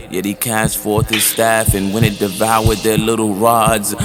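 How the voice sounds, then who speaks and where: The speaker's intonation is flat and monotone, with music playing in the background. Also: man. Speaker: spoken word poet. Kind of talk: spoken word poetry performance.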